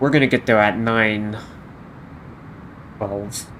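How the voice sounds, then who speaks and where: A soft-spoken man talks at a fairly slow pace in a monotone, flat intonation. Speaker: flight sim streamer. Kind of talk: live stream commentary. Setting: live stream.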